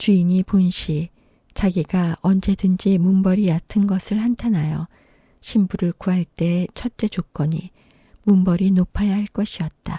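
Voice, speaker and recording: Her tone dark and mellow, a woman speaks at a fairly slow pace with medium pitch, fairly even intonation, and a somewhat breathy quality. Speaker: audiobook narrator. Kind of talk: audiobook reading of a classic short story.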